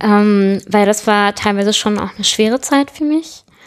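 Here is a woman with a medium pitch. She talks at a moderate pace. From southern Germany, small town. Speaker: web developer. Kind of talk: interview. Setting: at her home.

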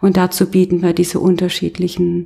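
A somewhat breathy woman's voice, medium in pitch, with a dark, mellow tone and flat, monotone intonation. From Baden, Karlsruhe. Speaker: yoga teacher and studio owner. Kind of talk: interview, casual chat. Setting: in her yoga studio.

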